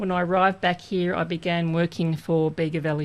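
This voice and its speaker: A woman talks at a fairly quick pace with a fairly low pitch. She has an Australian accent. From Australia, far south coast of New South Wales. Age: 50s. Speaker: community radio co-host. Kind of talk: personal introduction on community radio.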